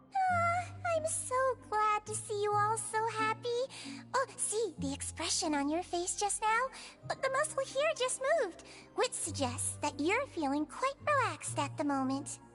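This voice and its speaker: In a put-on character voice, a woman squeaks at an extremely high pitch over clear background noise. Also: moderate pace. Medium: game stream. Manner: soft, kind.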